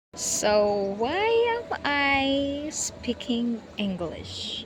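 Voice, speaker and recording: Someone with a Filipino accent talks at a very slow pace with lively intonation, amid audible room echo and noticeable background noise. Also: woman, high pitch for a woman. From Philippines, Eastern Visayas (Waray). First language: Waray. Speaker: vlogger. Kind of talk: casual vlog talk to camera. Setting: outdoors at the beach. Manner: halting, hesitant.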